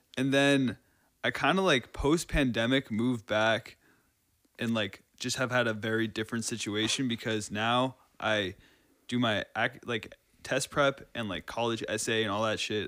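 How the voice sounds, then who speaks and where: A man's unremarkable speaking voice at medium pitch, fairly even in intonation and moderate in pace, on a very clean recording with a silent background. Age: 20s. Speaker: drummer and tutor. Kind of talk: casual chat.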